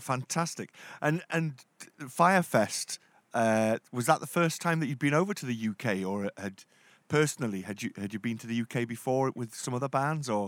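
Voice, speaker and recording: At a moderate pace, a man with a plain, everyday voice talks at medium pitch with lively intonation. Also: dry, close sound with no echo. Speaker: radio show host. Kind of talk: radio interview.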